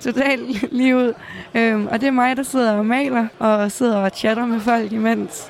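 Crowd noise fills the background as a woman speaks in a fairly high pitch at a fairly slow pace. Her intonation is flat and monotone, and her loudness stays very even. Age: 20s. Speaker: gamer and streamer. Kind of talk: interview. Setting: gaming event venue. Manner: halting.

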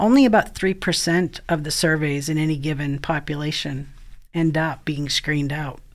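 In an American accent, a woman talks at a moderate pace with a very deep, low pitch and fairly even intonation. The recording is very clean, with a silent background. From Maine, US Northeast. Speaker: prevention science expert and former teacher. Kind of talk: interview conversation.

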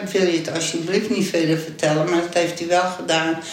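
Over noticeable background noise and audible room echo, a woman speaks. Her pitch is fairly low and her pace moderate. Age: 80s+. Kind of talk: interview.

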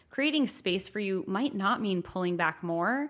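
A woman speaks in a normal speaking voice at a moderate pace, her pitch medium. Her intonation is lively, and the recording is very clean with a silent background. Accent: American. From New York, US. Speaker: podcast co-host. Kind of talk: casual chat.

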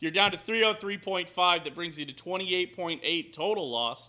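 This man talks at a fairly quick pace with a high pitch. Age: 20s. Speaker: podcast host and streamer. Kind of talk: casual chat.

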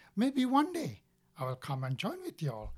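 This man's voice comes across as somewhat breathy. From Sri Lanka. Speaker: marine operations superintendent at a hospital ship charity. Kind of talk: testimony. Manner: halting.

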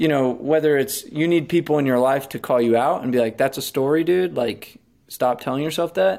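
Speaking at a fairly quick pace, a man with an unremarkable speaking voice uses a fairly high pitch and ordinary pitch variation. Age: 30s. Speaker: door-to-door sales consultant. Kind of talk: casual interview.

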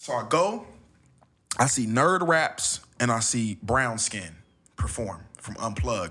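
Bright and sharp in tone, a man's medium-pitched voice carries lively intonation with an American accent. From Los Angeles, California. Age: 20s. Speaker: spoken word poet. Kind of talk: casual chat. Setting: home studio.

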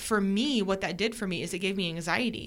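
A woman with an American accent has an unremarkable speaking voice at a medium pitch. Her intonation is fairly even and her pace moderate. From Oregon coast. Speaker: business co-owner and wife.

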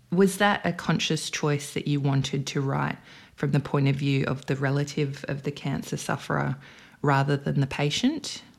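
Over a silent background in a very clean recording, a woman with an Australian accent speaks at a moderate pace in a very deep, low pitch with vocal fry and fairly even intonation. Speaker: podcast host and author. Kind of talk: interview.

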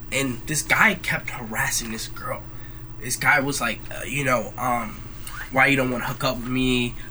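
A man with a medium-pitched voice speaks in a fairly even tone, with audible room echo and noticeable background noise. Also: moderate pace. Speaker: college student. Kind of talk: casual chat.

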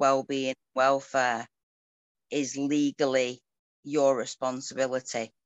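Very deep and low, a woman's voice with a northern English accent moves at a very slow pace in a monotone, flat intonation, broken by long, frequent pauses. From rural northern England. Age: 40s. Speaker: ferret breeder. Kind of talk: interview conversation.

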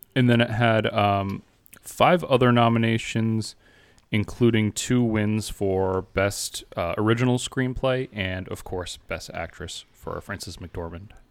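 A man with an ordinary speaking voice talks at a medium pitch and a fairly slow pace, with ordinary pitch variation. His loudness swings widely. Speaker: podcast host. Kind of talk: casual chat. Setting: video call.

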